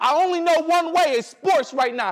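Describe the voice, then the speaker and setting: Noticeable background noise sits behind a man with an extremely high voice. He sounds animated, talking at a fairly quick pace with ordinary pitch variation. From Detroit, Michigan. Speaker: motivational speaker. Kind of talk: keynote speech. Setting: stage with audience.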